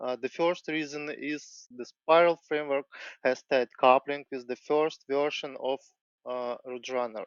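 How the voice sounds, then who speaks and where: With a non-native accent, a man talks at a fairly slow pace, his pitch fairly high and his intonation fairly even. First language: not English. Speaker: software developer. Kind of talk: tech presentation. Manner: halting.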